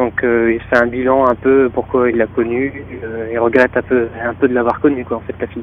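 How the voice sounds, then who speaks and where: Noticeable background noise accompanies a man with a northern French accent who talks at a fairly quick pace in fairly even intonation. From northern France. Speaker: rock band guitarist. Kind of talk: interview. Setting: phone call.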